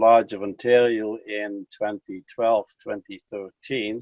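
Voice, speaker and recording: Monotone, flat delivery at a fairly slow pace, in a Dutch accent. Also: man. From Netherlands. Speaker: fraternal lodge official. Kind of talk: interview.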